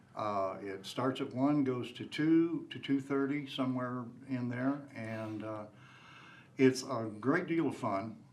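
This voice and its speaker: Speaking very slowly at a medium pitch with ordinary variation, a man is heard in a room with audible echo. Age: 70s. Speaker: tai chi teacher, veteran. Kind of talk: personal introduction.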